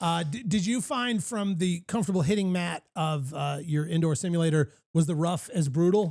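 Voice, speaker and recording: A man with a high pitch speaks at a moderate pace with hardly any pauses. The recording is very clean with a silent background. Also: ordinary pitch variation. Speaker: golf podcast host. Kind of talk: casual chat. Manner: stuttering at times.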